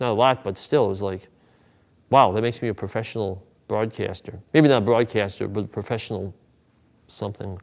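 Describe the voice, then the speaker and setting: Against a quiet background, a man at a medium pitch speaks at a moderate pace with fairly even intonation. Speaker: wrestling broadcaster. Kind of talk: interview storytelling.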